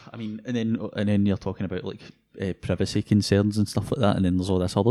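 With a Scottish accent, a man talks very fast at a fairly low pitch, his tone dark and mellow, in a dry, close sound with no echo. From Scotland, North Lanarkshire. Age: 20s. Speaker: tech podcast co-host, university student. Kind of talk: casual chat.

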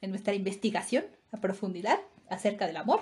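A woman's somewhat breathy voice, fairly high in pitch. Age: 30s. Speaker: podcast co-host. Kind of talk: casual chat.

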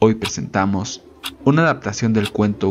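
A man's fairly low voice at a moderate pace, an ordinary speaking voice. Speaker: announcer. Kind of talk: scripted promo announcement with warning. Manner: formal, clear, ominous.

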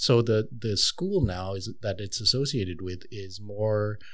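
With a Montreal accent, a man talks at a moderate pace in a fairly low pitch. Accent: Montreal English (Canadian). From Montreal, Canada. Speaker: tattoo artist. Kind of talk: casual chat.

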